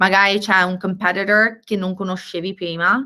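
A woman's medium-pitched voice with a bright, sharp tone and ordinary pitch variation, at a fairly slow pace, on a very clean recording with a silent background. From Tuscany, Italy (Viareggio). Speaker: venture capital investor. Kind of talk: interview. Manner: halting with repeated words.

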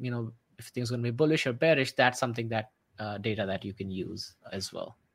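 The background is silent in this very clean recording of a man talking. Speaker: trading show co-host. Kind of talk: casual chat about stock charts. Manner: excited, animated.

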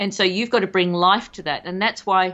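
A woman is speaking. She has an Australian accent. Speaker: podcast co-host, guest. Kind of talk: casual chat. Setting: remote recording.

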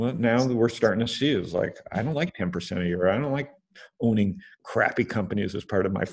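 With a quiet background, a man with a plain, everyday voice talks at a moderate pace in a medium pitch, his intonation lively. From Canada. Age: 50s. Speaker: angel investor. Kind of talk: interview.

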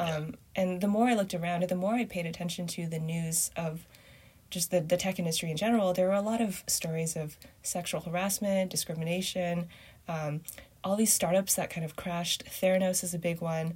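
A woman with a Canadian accent speaks at a fairly low pitch and a fairly quick pace, somewhat breathy, with fairly even intonation. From Canada. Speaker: writer and former software engineer. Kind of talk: casual interview.

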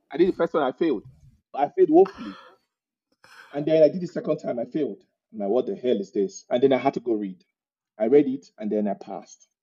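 A man with a Nigerian accent talks at a very fast pace, his fairly high pitch swinging very widely. He leaves long, frequent pauses. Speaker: immigrant guest. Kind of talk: casual interview chat.

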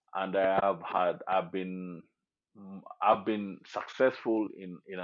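This is a man with a Kenyan accent. His pitch is very deep and low. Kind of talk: casual interview.

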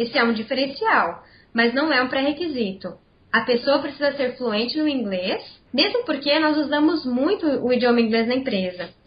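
At a moderate pace, a woman with a high pitch speaks with very wide pitch swings. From Brazil, Campinas (São Paulo state). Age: 20s. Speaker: corporate trainee. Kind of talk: interview.

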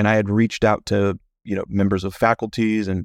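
An American accent comes through at a moderate pace with fairly even intonation. The recording is very clean with a silent background, and the sound is dry and close with no echo. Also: man. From US Midwest (Kansas City, Kansas), later Miami. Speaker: senior editor of a political publication. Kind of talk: casual interview. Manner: halting, many fillers.

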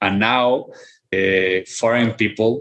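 Speaking very slowly, a man with a Mexican accent keeps a monotone, flat intonation. His voice sits fairly low in pitch. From Guadalajara, Mexico. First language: Spanish. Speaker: philosopher and professor. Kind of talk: interview conversation. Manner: halting, with repetitions.

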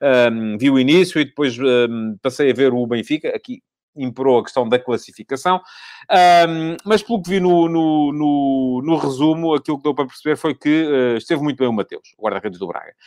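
A man talks at a moderate pace with ordinary pitch variation. His voice sits fairly high in pitch. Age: 50s. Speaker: football pundit. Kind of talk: solo commentary show. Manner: hesitant with fillers.

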